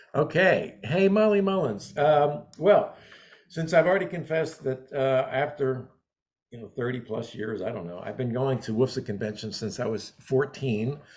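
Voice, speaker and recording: This man's somewhat breathy, medium-pitched voice moves at a moderate pace, with very wide pitch swings and big swings in loudness. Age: 70s. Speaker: interviewer in the floral wholesale trade. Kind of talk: interview. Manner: halting.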